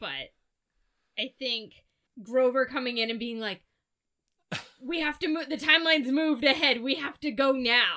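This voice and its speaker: A woman with a raised, projected voice and a bright, sharp tone speaks at a high pitch and a moderate pace, with ordinary pitch variation and long, frequent pauses. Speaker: podcast host. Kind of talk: casual chat.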